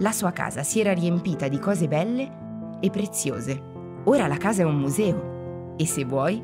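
A woman speaks at a fairly slow pace in a playful tone, with music playing in the background. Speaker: narrator. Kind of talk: children's museum narration. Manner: friendly, playful.

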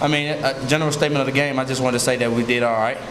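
Noticeable background noise runs under the speech. A man talks at a very fast pace with fairly even intonation. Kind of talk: interview answer. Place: meeting room. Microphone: podium.

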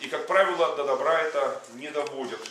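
Audible echo from the room, some light background noise, and a male speaker. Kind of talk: sermon. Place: hall.

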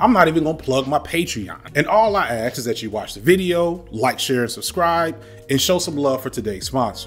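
Faint music plays behind a man who talks at a fairly quick pace with hardly any pauses. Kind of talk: commentary. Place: home room.

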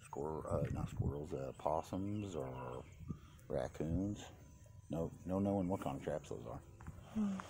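Over noticeable background noise, a man with a very deep, low pitch speaks at a fairly slow pace. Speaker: home vlogger. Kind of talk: casual vlog chat. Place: garden. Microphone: phone near.

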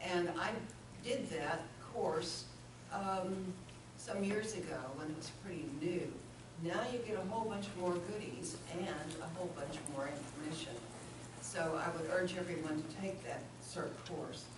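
The delivery is fairly slow, with long, frequent pauses. Room echo is audible, and background noise is noticeable. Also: woman, fairly low pitch for a woman, ordinary pitch variation. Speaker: city councilor. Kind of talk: council meeting report. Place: hall. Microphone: camera far.

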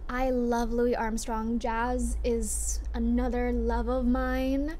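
There is light background noise. Over it, a woman talks. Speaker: vlogger. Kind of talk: casual vlog chat. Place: home room.

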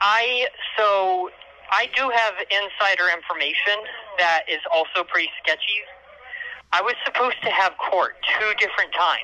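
At a moderate pace, a woman talks with ordinary pitch variation and long, frequent pauses. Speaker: caller. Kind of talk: casual phone conversation. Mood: uncertain, defensive. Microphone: video call.

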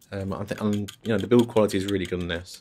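A soft-spoken man talks in a flat monotone at a fairly low pitch. Light background noise is present. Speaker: ASMR creator and music composer; ASMR creator. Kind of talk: ASMR roleplay as a music shop assistant. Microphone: studio mic.

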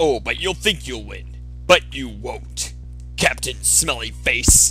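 Clear music plays in the background as a man speaks at a fairly slow pace. His loudness rises and falls in big swings. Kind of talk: comic dubbed fight movie dialogue. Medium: comedy sketch. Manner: vengeful, taunting.

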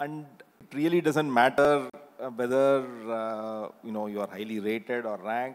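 At a moderate pace, a man speaks with an Indian accent at a medium pitch. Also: ordinary pitch variation. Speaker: institute director. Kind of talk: panel discussion. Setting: stage with audience. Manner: halting. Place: stage. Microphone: handheld.

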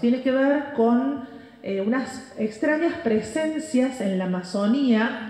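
Very slow speech in a Cordoba accent with lively intonation, carried in audible room echo. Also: woman. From Argentina, Córdoba; Argentina. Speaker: journalist and researcher; journalist. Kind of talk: conference talk. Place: stage. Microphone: pa.

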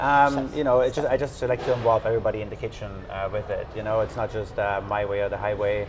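Noticeable noise sits in the background. Through it, a man talks with fairly even intonation. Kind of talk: interview answer. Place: cafe. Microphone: lapel.

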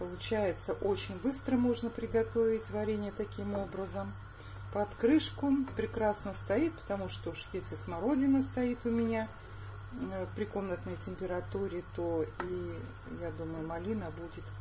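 A woman talks at a fairly slow pace. There is light background noise. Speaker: home cook vlogger. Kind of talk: casual cooking vlog chat. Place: kitchen. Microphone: phone near.

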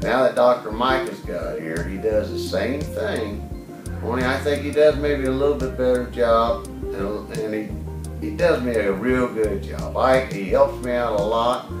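Clear music plays behind a man speaking at a fairly slow pace with hardly any pauses. His pitch swings very widely. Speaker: plumber. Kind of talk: patient testimonial. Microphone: phone near.

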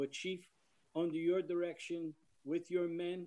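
A high-pitched man with an American accent, monotone, flat intonation and a moderate pace. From Yorktown, New York; New York. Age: 60s. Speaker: fire department emergency service veteran, resident. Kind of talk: public comment at a meeting. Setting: video teleconference. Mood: emotional, defensive of police. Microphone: video call.

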